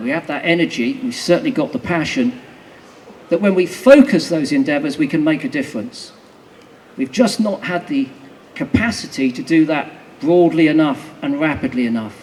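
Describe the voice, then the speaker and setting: Very wide pitch swings and a moderate pace come through over noticeable background noise. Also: man, high pitch for a man. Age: 60s. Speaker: naturalist campaigner speaking at a rally. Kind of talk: rally speech. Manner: rousing.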